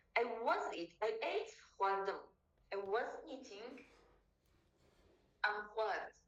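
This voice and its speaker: A woman's fairly high voice with ordinary pitch variation, a very slow pace and long, frequent pauses, amid audible room echo and music in the background. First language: Kurdish. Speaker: language tutor. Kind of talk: tutorial.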